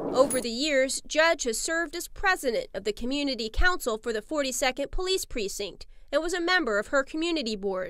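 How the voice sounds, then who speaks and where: On a very clean recording with a silent background, a woman speaks at a moderate pace in a high pitch with very wide pitch swings. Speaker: reporter. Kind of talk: TV news narration.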